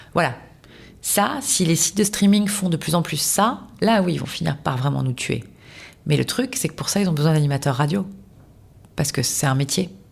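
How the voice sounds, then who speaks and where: A woman's fairly low voice rises and falls in a lively way. She is somewhat breathy and keeps a moderate pace. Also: long, frequent pauses. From southern France, Toulouse. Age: 40s. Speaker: radio host. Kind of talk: casual interview. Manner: animated, many fillers.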